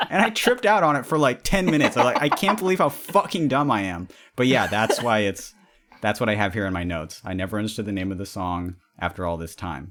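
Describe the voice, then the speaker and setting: Very fast delivery from a man with fairly low pitch and very wide pitch swings. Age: 30s. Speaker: podcast guest discussing music. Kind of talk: casual chat. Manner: hesitant, many fillers.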